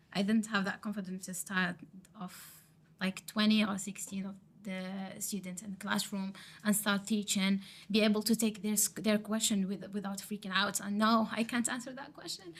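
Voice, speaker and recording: Someone with an Arabic accent speaks at a moderate pace, somewhat breathy, in a monotone with flat intonation. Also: woman, medium pitch for a woman. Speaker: teacher training student. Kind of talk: podcast interview. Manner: halting.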